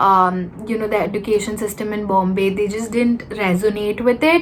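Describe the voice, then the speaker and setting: A woman with a fairly high voice and fairly even intonation, fairly slow, with noticeable background noise. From India (Mumbai and Kolkata). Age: 20s. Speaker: YouTuber. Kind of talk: casual chat. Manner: hesitant, filler-heavy.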